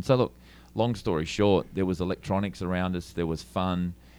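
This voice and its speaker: A man with a very deep, low voice and an Australian accent talks very fast with fairly even intonation. The recording is very clean, with a silent background. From Australia, Melbourne. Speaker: lighting and LED screen business owner. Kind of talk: interview. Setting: trade show.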